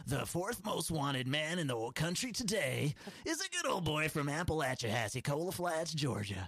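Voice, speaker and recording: With clear background noise behind him, a man uses a put-on character voice pitched fairly high. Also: moderate pace. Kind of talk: radio announcer. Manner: put-on, comic.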